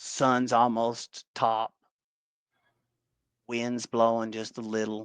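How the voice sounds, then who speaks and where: Speaking very slowly with a Southern US accent, a man at a medium pitch is heard against a quiet background with a dry, close sound and no echo. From Tennessee, USA. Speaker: paintball player. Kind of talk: podcast guest storytelling.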